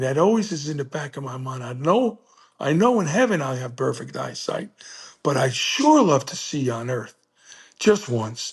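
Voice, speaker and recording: A man with a fairly high pitch speaks at a moderate pace, somewhat breathy, with an animated tone and lively intonation. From New Jersey. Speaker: blind teacher, coach and motivational speaker. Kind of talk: interview answer, personal story. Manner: emotional, animated storytelling.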